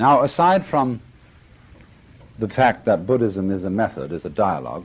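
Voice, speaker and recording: A man's fairly low voice with vocal fry, very wide pitch swings and a moderate pace. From Britain. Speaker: philosopher. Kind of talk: lecture.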